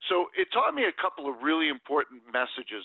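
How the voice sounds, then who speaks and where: A man with an American accent and an unremarkable speaking voice, fairly high-pitched, at a moderate pace. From US Northeast, New Jersey. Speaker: sales consultant and author. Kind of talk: interview.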